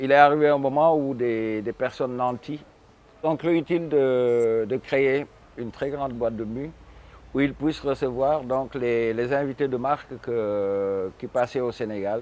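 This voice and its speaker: A man with a plain, everyday voice, medium pitch, ordinary pitch variation and a fairly slow pace. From Senegal, Saint-Louis. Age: 60s. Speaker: musician. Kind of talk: interview.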